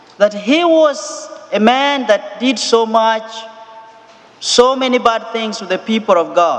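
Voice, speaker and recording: Over noticeable background noise, a man with an extremely high pitch and ordinary pitch variation talks at a very slow pace. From Kenya. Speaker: missionary priest. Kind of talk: sermon. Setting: church.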